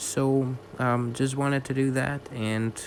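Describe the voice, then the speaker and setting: A man with a non-native accent, at a very slow pace. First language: not English. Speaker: bird keeper, video creator. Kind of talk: voiceover narration. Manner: halting, many fillers.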